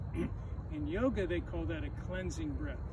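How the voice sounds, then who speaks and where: Against loud background noise, a man speaks at a very slow pace in a dry sound with no echo. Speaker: gym teacher. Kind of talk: tutorial. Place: open country. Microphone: camera far.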